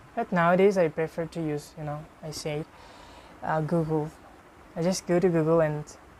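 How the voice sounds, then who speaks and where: With a Bengali accent, a woman speaks in a fairly low, monotone, flat voice, leaving long, frequent pauses. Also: moderate pace. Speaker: IELTS speaking practice partner. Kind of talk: casual chat. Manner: halting.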